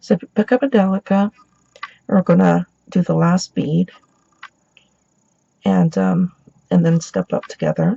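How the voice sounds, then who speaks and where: The speaker goes at a fairly slow pace, leaving long, frequent pauses. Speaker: beading tutorial maker. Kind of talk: tutorial.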